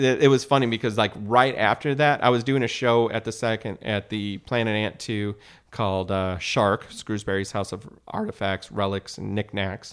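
An unremarkable speaking voice from a man, fairly low in pitch, with ordinary pitch variation and hardly any pauses. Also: moderate pace. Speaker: improv comedian and teacher. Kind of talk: casual chat.

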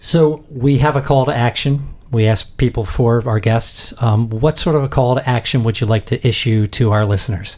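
At a moderate pace with hardly any pauses, a man talks in a somewhat breathy, medium-pitched voice with ordinary pitch variation and very even loudness. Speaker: radio host. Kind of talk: radio talk show hosting. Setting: radio studio broadcast.

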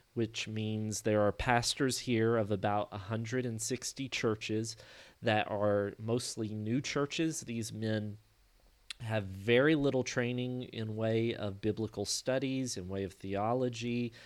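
On a very clean recording with a silent background, a man with a Kentucky accent speaks fairly slowly at medium pitch with fairly even intonation. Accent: US Southern (Kentucky). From Kentucky, US. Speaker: missionary and theologian. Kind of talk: interview.

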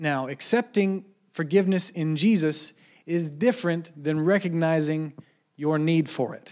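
In a very clean recording with a silent background, a man with an unremarkable speaking voice speaks at a fairly high pitch and a fairly slow pace. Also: ordinary pitch variation. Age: 30s. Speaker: preacher. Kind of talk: sermon. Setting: church.

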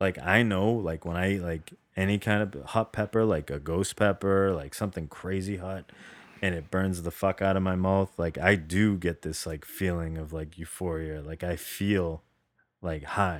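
Speaking with an American accent, a man uses a very deep, low pitch and fairly even intonation at a moderate pace. The recording is very clean, with a silent background. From New England, Boston area. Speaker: podcast co-host. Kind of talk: casual chat.

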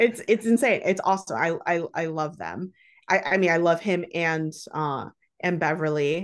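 Against a quiet background, a woman talks at a fairly low pitch with ordinary pitch variation. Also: moderate pace. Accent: Midwestern US. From Dearborn, Michigan, US. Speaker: chef. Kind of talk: casual chat.

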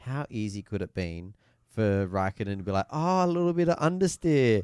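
Against a quiet background, a man with an Australian accent speaks at a moderate pace. His intonation is lively, and the sound is dry and close with no echo. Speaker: motorsport podcast host. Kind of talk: casual chat. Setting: studio.

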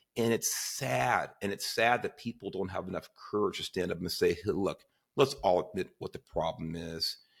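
In an ordinary speaking voice, a man speaks at a moderate pace with fairly low pitch and lively intonation. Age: 50s. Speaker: podcast host. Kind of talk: casual interview chat.

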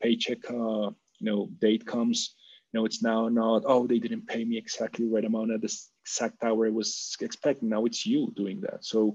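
A man in a Spanish accent speaks at a moderate pace. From Colombia. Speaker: business executive. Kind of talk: interview.

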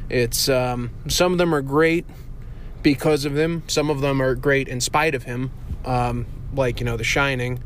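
A man speaks at a fairly slow pace with fairly even intonation. Room echo is audible. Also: medium pitch for a man. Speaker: friend of the show, sent-in segment. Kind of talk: recorded monologue. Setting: parking garage. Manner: low energy.

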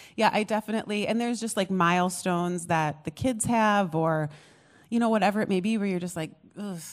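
At a fairly quick pace, a woman talks with a normal speaking voice, a medium pitch and ordinary pitch variation. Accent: American. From US, small town. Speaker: pastor. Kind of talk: testimony. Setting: stage with audience.

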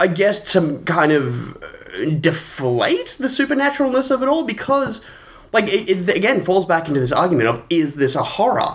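A man with an Australian accent talks at a moderate pace, his pitch high and swinging very widely. His loudness stays very even throughout. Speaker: film podcast co-host. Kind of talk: casual chat.

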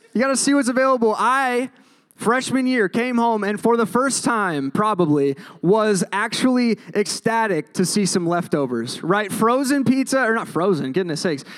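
A man's high, animated voice with an American accent, lively intonation and very even loudness, at a moderate pace, on a very clean recording with a silent background. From Minnesota. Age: 20s. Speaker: campus ministry preacher. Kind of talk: sermon.

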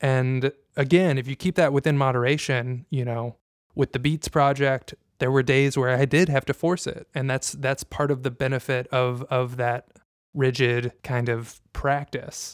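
An ordinary speaking voice with fairly even intonation comes through a very clean recording with a silent background and a dry, close sound with no echo. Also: man, medium pitch for a man. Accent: American. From Indiana, US Midwest. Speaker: podcast host. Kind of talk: casual chat.

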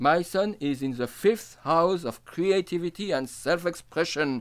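A man with a French accent speaks at a fairly slow pace and high pitch, his intonation lively. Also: very clean recording, silent background. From France, Nancy area. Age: 50s. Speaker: astrologer and storyteller. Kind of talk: autobiographical monologue.

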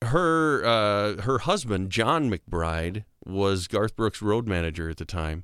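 Speaking very slowly yet with hardly any pauses, a man with an American accent and a fairly low pitch uses lively intonation on a very clean recording with a silent background. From US Midwest, South Dakota. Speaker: state senator and voiceover artist. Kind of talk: casual interview chat. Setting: podcast studio.

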